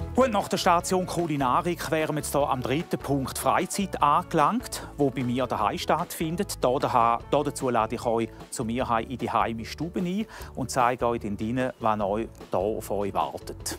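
Music in the background accompanies a man whose intonation is lively. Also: medium pitch for a man, moderate pace. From Hauptwil, Thurgau, Switzerland. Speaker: software developer and amateur musician. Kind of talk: host addressing guests on a TV show.

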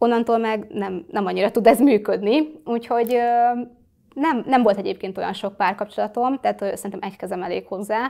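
Against a quiet background, a woman with a fairly high voice speaks at a fairly quick pace in a dark, mellow tone with ordinary pitch variation. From Hungary, Kecskemét; Hungary. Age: 20s. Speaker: social media influencer; interview guest, influencer. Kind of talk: interview. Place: studio. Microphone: lapel.

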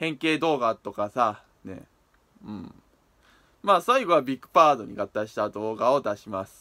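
Against a quiet background, a man with a bright, sharp tone speaks at a moderate pace, taking long, frequent pauses, with very wide pitch swings and big swings in loudness. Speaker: toy review YouTuber; toy review vlogger. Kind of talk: video diary vlog. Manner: halting with many fillers and repetitions; unusual speech patterns. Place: home room. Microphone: phone near.

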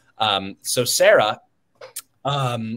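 A man with an American accent speaks in a bright, sharp tone. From Ohio, Butler County; Ohio. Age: 20s. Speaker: political candidate and student; candidate. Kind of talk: interview. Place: home room.

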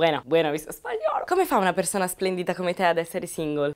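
Speaking at a very fast pace against a quiet background, a woman has a fairly low pitch and ordinary pitch variation. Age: 20s. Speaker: YouTuber. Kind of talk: Q&A vlog, casual monologue. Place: studio. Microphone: lapel.

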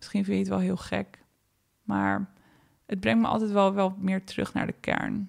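Long, frequent pauses break up a woman's moderate pace of speech. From Netherlands. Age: 30s. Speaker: podcast host. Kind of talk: reflective solo podcast monologue.

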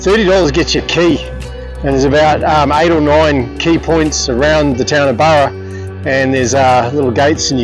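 A man's dry, echo-free voice sits in front of clear background music. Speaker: travel vlogger. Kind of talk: casual vlog chat. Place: open country. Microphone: phone near.

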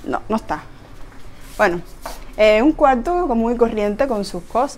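A woman speaks at a fairly quick pace in a Cuban accent. Her fairly high voice has lively intonation. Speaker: vlogger. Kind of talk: casual house tour talk to camera. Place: home room. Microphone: lapel.

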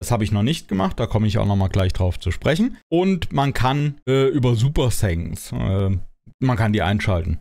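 At a moderate pace, a man speaks in a fairly low pitch with a dark, mellow tone, lively intonation and very even loudness. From Germany. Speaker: gaming YouTuber. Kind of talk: casual Q&A monologue. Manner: hesitant, many filler sounds. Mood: relaxed, cheerful. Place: home room. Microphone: studio mic.

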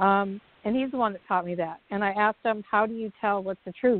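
A woman talks at a fairly quick pace in a medium pitch with ordinary pitch variation. Hers is a plain, everyday voice. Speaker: talk show co-host. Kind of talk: casual discussion.

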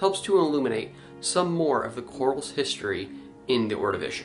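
A man talks at a moderate pace while clear music is heard in the background. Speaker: science channel host. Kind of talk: news review commentary. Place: home room.

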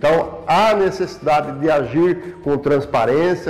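A man speaks with a high pitch. Faint music plays in the background. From Brazil, São Paulo state. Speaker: former city councillor. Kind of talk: interview testimony. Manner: formal. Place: office. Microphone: lapel.

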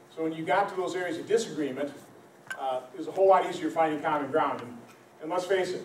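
Here a man speaks very fast at a high pitch, with fairly even intonation. Light background noise and audible room echo are present. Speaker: politician addressing a town hall. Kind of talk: public speech. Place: hall. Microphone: camera far.

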